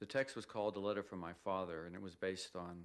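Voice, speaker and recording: This man has an American accent and a very deep, low pitch. He talks at a fairly quick pace. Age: 60s. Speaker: photographer. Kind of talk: documentary interview.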